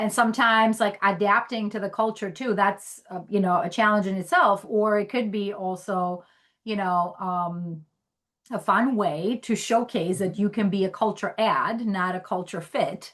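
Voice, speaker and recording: A woman with an Albanian accent talks at a medium pitch. Her intonation stays fairly even. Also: moderate pace. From Greece. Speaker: podcast host, HR technology professional. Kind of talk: casual interview chat.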